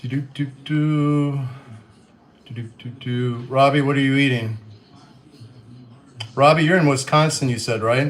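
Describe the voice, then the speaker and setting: Audible room echo surrounds a man with an American accent and a fairly high pitch, who talks at a fairly slow pace with fairly even intonation and long, frequent pauses. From Western Kentucky, US. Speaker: livestreamer. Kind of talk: casual chat.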